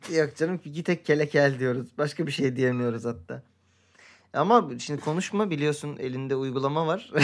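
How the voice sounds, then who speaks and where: A man speaks in a normal speaking voice, fairly high in pitch. His pace is moderate and his pitch varies an ordinary amount. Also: very clean recording, silent background. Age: 30s. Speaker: podcast co-host. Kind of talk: casual chat.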